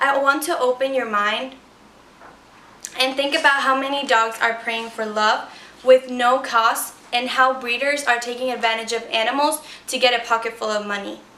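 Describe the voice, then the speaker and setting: Amid noticeable background noise and audible room echo, a woman with a Spanish accent speaks at a moderate pace, high in pitch, with fairly even intonation. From Ecuador. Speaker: student. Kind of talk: persuasive speech.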